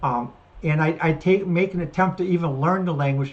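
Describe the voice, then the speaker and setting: At a fairly quick pace, a woman speaks in a somewhat breathy voice with lively intonation. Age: 60s. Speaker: podcast host. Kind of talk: solo commentary. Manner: halting, many fillers and restarts.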